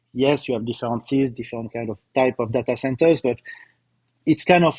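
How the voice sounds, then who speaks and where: With a slight French accent, a man talks at a fairly quick pace in a dry, close sound with no echo. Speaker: company CEO presenting results. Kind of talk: corporate webcast presentation. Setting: live webcast. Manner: hesitant, many fillers and repetitions.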